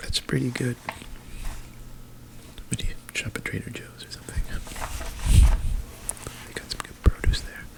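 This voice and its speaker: Whispering in a gentle tone, a man speaks at a moderate pace with long, frequent pauses and big swings in loudness over noticeable background noise. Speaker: therapist (roleplay). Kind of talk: ASMR roleplay. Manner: whispered, gentle.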